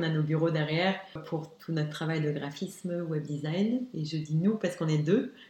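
Somewhat breathy, a woman talks at a moderate pace and fairly low pitch, with audible room echo. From Luxembourg. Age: young. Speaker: graphic designer. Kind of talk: interview. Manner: animated.

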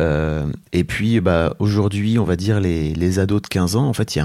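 The recording is very clean, with a silent background. A man speaks in a very deep, low voice with a dark, mellow tone and lively intonation. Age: 40s. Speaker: entrepreneur and podcaster. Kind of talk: interview. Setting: at the guest's home.

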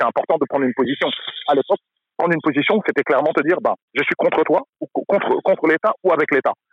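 Keeping his loudness very even, a man speaks at a very fast pace. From France. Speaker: basketball event founder. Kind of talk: casual chat. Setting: outdoors.

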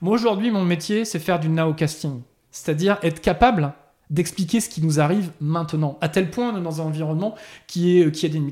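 Fairly quick and high-pitched, a man's voice with a dark, mellow tone comes through on a very clean recording with a silent background. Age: 40s. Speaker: technology executive. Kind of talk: interview. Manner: halting, many repetitions.

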